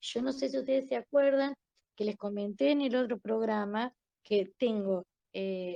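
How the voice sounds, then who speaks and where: With an Argentine accent, a woman's fairly high voice carries a dark, mellow tone in a dry, close sound with no echo. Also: ordinary pitch variation, fairly slow pace. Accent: Argentine Spanish (voseo). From Argentina. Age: 60s. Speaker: interviewee sharing life story. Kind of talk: interview testimony.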